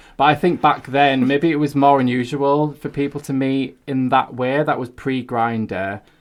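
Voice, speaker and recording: A man speaks at a medium pitch. He has a Hull accent. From Hull, East Yorkshire. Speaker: freelance writer. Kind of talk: casual chat.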